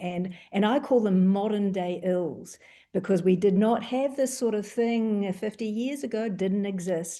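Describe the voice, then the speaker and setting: A woman with a New Zealand accent speaks in a medium pitch with a dark, mellow tone. Her pace is moderate, with ordinary pitch variation. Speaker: doctor. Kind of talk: panel discussion.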